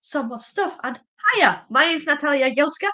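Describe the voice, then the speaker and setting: At a fairly quick pace, a woman projects a raised, high-pitched voice with a bright, sharp tone. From Poland. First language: Polish. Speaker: paleontologist and museum officer. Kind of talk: presentation in a live stream interview. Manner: fast.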